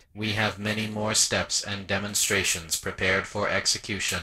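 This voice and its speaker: In a put-on character voice, a man speaks with a fairly low pitch and a solemn tone at a moderate pace, with light background noise behind him. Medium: audio drama. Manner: solemn, monotone, literal.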